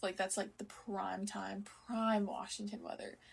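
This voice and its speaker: Somewhat breathy and medium in pitch, a woman speaks with an American accent and fairly even intonation. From US military base in Okinawa, Japan. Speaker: podcast host, college volleyball player. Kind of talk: casual solo podcast talk. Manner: casual, many fillers (um, like).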